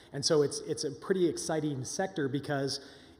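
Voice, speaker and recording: Moderate pace and ordinary pitch variation from a somewhat breathy man. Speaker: session host. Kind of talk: conference introduction talk. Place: hall. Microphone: podium.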